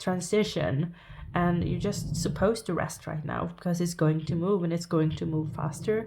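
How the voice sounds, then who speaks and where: A woman speaks with a Norwegian accent at a fairly low pitch, with vocal fry and a dark, mellow tone. Her intonation is fairly even, and the room echo is audible. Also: moderate pace. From Norway. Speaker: tarot reader. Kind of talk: tarot reading to camera. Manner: halting.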